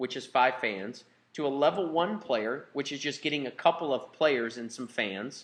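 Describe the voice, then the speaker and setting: With ordinary pitch variation, a man talks in a fairly high voice. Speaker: business presenter. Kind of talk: sales pitch. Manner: fast.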